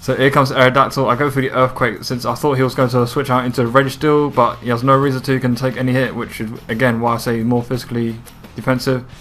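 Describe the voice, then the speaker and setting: Over background music, a man races along at a very fast pace in a monotone, flat intonation at a medium pitch. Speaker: video game commentator. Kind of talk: gameplay commentary.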